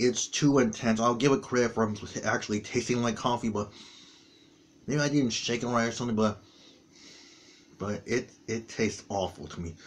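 Against light background noise, a man speaks at a moderate pace with ordinary pitch variation and long, frequent pauses. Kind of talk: casual vlog chat. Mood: disgusted after tasting. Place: home room. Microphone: webcam.

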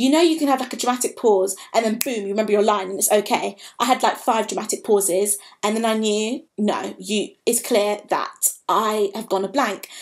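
Her pitch fairly high, a woman speaks at a moderate pace with ordinary pitch variation. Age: 20s. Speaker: vlogger, drama school applicant; drama school applicant vlogger. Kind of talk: personal vlog monologue. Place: home room. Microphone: webcam.

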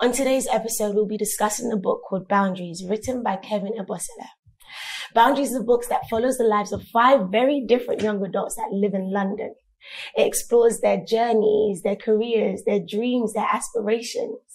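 A woman talks at a fairly quick pace. Her intonation is fairly even. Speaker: talk show host. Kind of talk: show host introduction. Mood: cheerful, warm. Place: studio.

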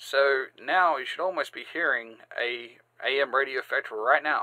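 This man's voice has a bright, sharp tone, a medium pitch and ordinary pitch variation, delivered at a moderate pace.

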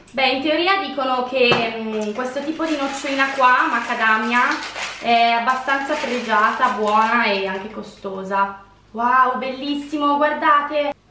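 Light background noise and audible room echo surround a woman speaking in a raised, projected voice at a fairly slow pace. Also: ordinary pitch variation. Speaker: food reviewer vlogger. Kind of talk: casual vlog chat. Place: home room.

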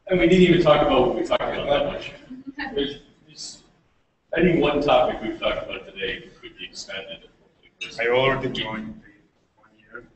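A man's loudness swings widely from moment to moment, with audible room echo around his voice. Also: fairly quick pace. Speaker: event host. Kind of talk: casual live-stream chat. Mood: jokey, relaxed. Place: hall. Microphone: webcam.

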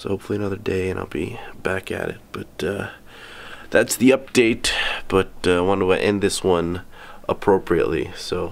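Fairly low in pitch, a man speaks with fairly even intonation and long, frequent pauses. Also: moderate pace. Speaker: airline pilot vlogger. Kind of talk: casual vlog chat. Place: home room. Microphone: phone near.

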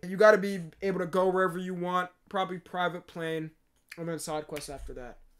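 Fairly even intonation carries through this man's speech. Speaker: streamer. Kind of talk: casual reaction commentary. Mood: playful, joking. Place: home room. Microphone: earbuds.

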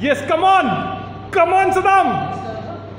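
Light background noise and audible room echo can be heard in the recording. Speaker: commentator and cheerleader. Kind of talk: live arm wrestling commentary, play-by-play with cheering. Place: gym. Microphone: phone near.

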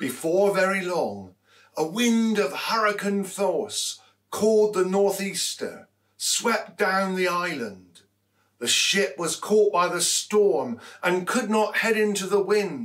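In a quiet background, a man talks at a very slow pace with a high pitch. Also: ordinary pitch variation. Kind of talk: scripture reading. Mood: calm, measured storytelling. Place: hall.

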